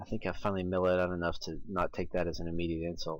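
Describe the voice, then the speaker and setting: A man's very deep, low voice in an American accent, very fast and monotone with flat intonation. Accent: slightly southern-tinged Midwestern American. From United States. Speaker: artist. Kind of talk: narrated art commentary.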